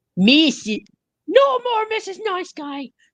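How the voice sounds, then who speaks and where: A woman shouts in a put-on character voice at an extremely high pitch. Her pitch swings very wide at a fairly slow pace. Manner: shouting angrily.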